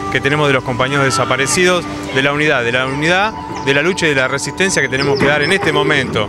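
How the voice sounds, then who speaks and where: With clear music behind him, a man talks at a very fast pace, the sound dry with no echo. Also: ordinary pitch variation. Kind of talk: interview answer. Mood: earnest, militant. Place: street. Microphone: handheld.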